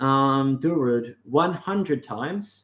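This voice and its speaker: A man with an Australian accent speaks at a fairly high pitch. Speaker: livestream host on mysticism. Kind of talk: casual livestream talk. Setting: live stream. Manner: halting.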